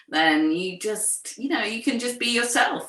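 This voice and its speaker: A woman's fairly slow speech with very wide pitch swings, over noticeable background noise. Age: 60s. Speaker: writer and poet, co-founder of an ageing community. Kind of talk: interview conversation.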